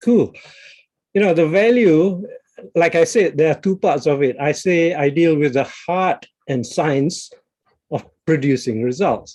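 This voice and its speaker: The intonation is lively. Long pauses come often. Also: man, fairly high pitch for a man, fairly slow pace. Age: 60s. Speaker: executive coach. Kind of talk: interview.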